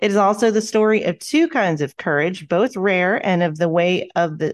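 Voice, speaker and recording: A woman uses a normal speaking voice with lively intonation at a moderate pace, against a quiet background. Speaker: podcast co-host. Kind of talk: casual chat.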